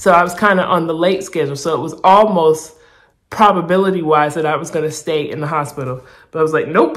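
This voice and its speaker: At a fairly quick pace, a woman with a fairly low pitch speaks in an animated tone. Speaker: vlogger documenting weight loss surgery. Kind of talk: casual vlog storytelling. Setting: hospital room. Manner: animated, casual; quiet, hushed in hospital clip.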